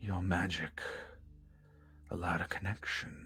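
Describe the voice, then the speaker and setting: A man's put-on character voice, very deep and low, moving at a moderate pace with clear background noise behind it. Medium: actual play. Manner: slow, solemn, formal.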